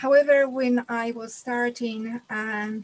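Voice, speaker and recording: In a Polish accent, a woman speaks at a very slow pace. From Poland. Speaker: physiotherapist and wellness speaker. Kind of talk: live-streamed talk. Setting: online live stream. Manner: halting.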